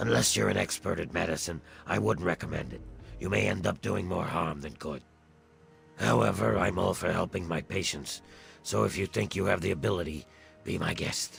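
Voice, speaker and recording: A man performs a put-on character voice, very deep, low and raspy, at a moderate pace. Music plays clearly in the background. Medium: video game. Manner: measured, clinical.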